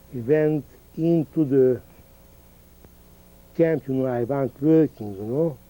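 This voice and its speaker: Speaking at a very slow pace with long, frequent pauses, a man with a Hungarian accent has a fairly high pitch and a dark, mellow tone. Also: ordinary pitch variation. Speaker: Holocaust survivor. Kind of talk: oral history interview. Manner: halting.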